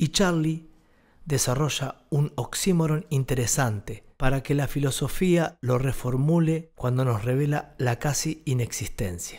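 Over a quiet background, a man with a fairly high pitch speaks at a fairly slow pace, his loudness very even and his pitch variation ordinary. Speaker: essay narrator. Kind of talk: literary essay narration, read aloud from a script. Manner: measured, reflective, formal. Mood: calm, reflective. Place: studio. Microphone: studio mic.

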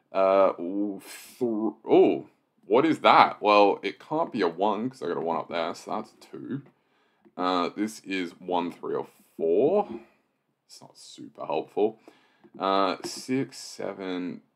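A man talks at a very slow pace, his loudness swinging widely. The background stays quiet. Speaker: sudoku solver and video host; video host. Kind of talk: puzzle-solving walkthrough. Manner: casual with frequent fillers. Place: home room.

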